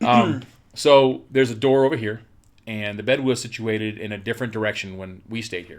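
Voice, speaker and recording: Loudness swings widely as a man talks at a fairly quick pace. His medium-pitched voice keeps a fairly even intonation. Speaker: paranormal investigator. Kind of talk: personal storytelling on location. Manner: jittery.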